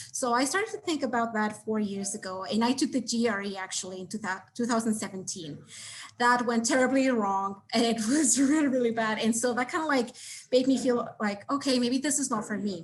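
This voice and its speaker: A woman with a Spanish accent talks at a fairly quick pace. Her fairly high pitch shows ordinary variation. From Mexico City. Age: 20s. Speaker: MBA applicant. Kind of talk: interview. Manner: halting.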